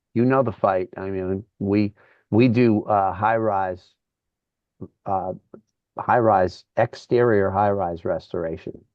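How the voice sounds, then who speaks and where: A man with an American accent, fairly low-pitched, at a very slow pace, fairly even intonation, and long, frequent pauses. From Connecticut, New Haven. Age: 60s. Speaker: rock guitarist. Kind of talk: casual interview.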